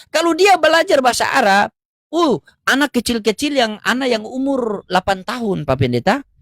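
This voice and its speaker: The sound is dry and close with no echo as an animated voice moves at a fairly quick pace with very wide pitch swings. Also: man, extremely high pitch for a man. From North Maluku, Ternate. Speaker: live stream debate host. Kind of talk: religious debate.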